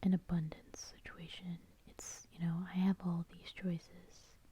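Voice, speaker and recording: Soft-spoken and somewhat breathy, a woman with a dark, mellow, soothing tone speaks at a fairly low pitch and a very slow pace in a monotone with flat intonation. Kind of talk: tarot reading. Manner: soft-spoken, soothing.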